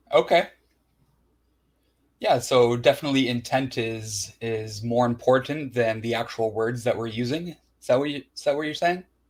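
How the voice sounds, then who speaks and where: A man with a strong Canadian accent speaks at a medium pitch and a moderate pace, his loudness swinging widely. The recording is very clean, with a silent background. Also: ordinary pitch variation. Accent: thick Canadian. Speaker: interviewer. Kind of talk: interview.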